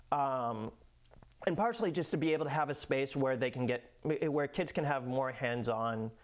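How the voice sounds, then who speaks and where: A man with an American accent has an ordinary speaking voice and a medium pitch. He speaks at a moderate pace with ordinary pitch variation and very even loudness. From Massachusetts (Lynn, north of Boston). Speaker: educational business owner. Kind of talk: casual interview.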